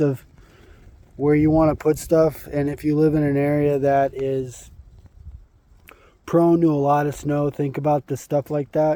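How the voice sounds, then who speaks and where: With monotone, flat intonation, a man talks at a moderate speed. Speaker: homesteader vlogger. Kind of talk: casual vlog walkthrough. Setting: outdoors. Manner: casual, halting.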